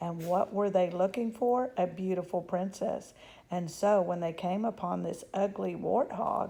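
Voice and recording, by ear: The speaker reads aloud in a natural voice, and the pitch varies in an ordinary way.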